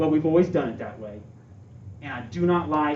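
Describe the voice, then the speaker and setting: Audible room echo hangs on the recording. A man talks fairly quickly. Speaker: school administrator candidate. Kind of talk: interview Q&A. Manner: fast; animated.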